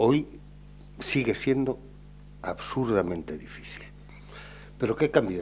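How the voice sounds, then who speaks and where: At a very slow pace with long, frequent pauses, a man with a medium pitch speaks with lively intonation. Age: 50s. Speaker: writer. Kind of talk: panel discussion.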